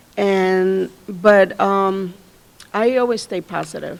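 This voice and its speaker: Speaking very slowly, a woman with a medium pitch talks in a Spanish accent. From Mexico. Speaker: college staff panelist. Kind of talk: panel discussion.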